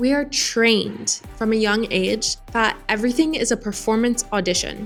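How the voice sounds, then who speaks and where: Music in the background behind a woman at a moderate tempo. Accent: American. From United States. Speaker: expat vlogger. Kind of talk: casual talk to camera.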